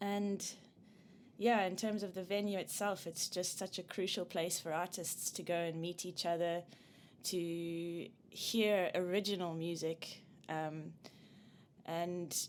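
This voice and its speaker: A woman at a very slow pace, fairly low in pitch, with fairly even intonation. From Zimbabwe, Bulawayo. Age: young. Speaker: singer and band frontwoman. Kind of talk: radio interview. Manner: hesitant, many fillers.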